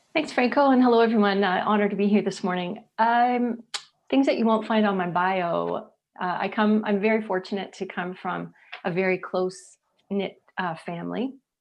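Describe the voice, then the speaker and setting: A woman speaks in a normal speaking voice at a medium pitch and moderate pace, with ordinary pitch variation. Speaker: charity executive. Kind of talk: panel discussion.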